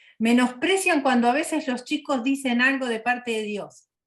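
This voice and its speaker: Against a quiet background, a woman with an Argentine accent speaks at a high pitch. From Argentina. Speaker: missionary. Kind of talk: personal testimony in interview.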